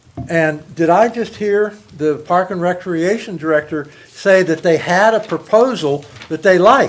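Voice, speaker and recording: Loud and high-pitched, a man talks at a fairly slow pace with ordinary pitch variation against noticeable background noise. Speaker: public commenter at city council. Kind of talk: public comment. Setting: council meeting.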